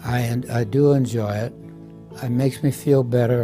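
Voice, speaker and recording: Over clear music in the background, a man with an American accent talks with fairly even intonation. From Iowa, USA. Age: 80s+. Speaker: Navy veteran, nursing home resident. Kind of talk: testimonial interview. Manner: relaxed, hesitant. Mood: warm, content, reflective. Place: home room. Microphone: lapel.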